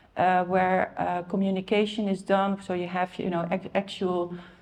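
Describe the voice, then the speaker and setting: Her pace is moderate. The woman speaks with a Dutch accent. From Netherlands, Amsterdam. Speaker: car rental industry expert. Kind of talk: conference talk. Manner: hesitant, many fillers.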